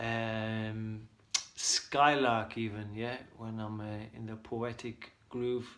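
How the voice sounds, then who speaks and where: Against noticeable background noise, a man at medium pitch speaks very slowly in a monotone, flat delivery. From Ireland, County Leitrim. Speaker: vlogger. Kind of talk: casual monologue. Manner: halting.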